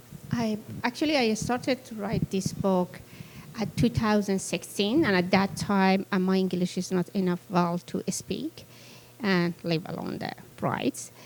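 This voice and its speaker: Ordinary pitch variation runs through a woman's speech in a non-native accent. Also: medium pitch for a woman, fairly slow pace. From Afghanistan. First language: Persian (Farsi). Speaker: author. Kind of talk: Q&A after a book reading. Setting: event with audience. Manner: halting, many fillers.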